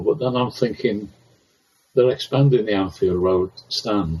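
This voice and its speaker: Somewhat breathy, a man speaks at a fairly slow pace with a fairly low pitch. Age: 70s. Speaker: stadium announcer. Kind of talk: interview. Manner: halting.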